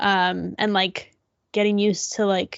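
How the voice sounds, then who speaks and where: With an American accent, a woman talks at a moderate pace. Her medium-pitched voice stays monotone and flat. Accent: American accent noticed by British listeners. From Illinois, US. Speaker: podcast co-host. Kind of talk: casual chat.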